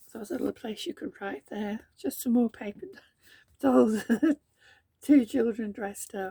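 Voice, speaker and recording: A woman's fairly high, somewhat breathy voice with a dark, mellow tone, moderately paced, with big swings in loudness and long, frequent pauses. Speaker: journaling crafter. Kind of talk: casual craft flip-through talk to camera. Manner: hesitant, giggly.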